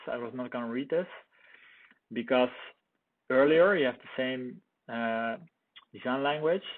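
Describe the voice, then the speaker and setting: A man with a non-native accent, medium pitch, moderate pace and ordinary pitch variation. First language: not English. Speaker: product reviewer. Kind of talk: casual commentary. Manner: halting.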